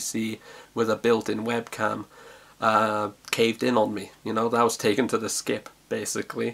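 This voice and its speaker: In a South Welsh accent, a man talks at a medium pitch. His intonation is monotone and flat. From South Wales. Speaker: vlogger. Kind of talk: casual vlog monologue. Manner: halting, many fillers and repetitions.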